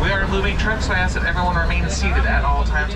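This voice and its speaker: Very fast speech from a man over loud background noise. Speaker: safari tour guide. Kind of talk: tour guide commentary. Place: car. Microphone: pa.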